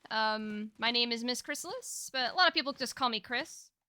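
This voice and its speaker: The speaker is a woman. Her pitch is high. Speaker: streamer. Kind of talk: live stream chat. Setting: live stream. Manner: halting.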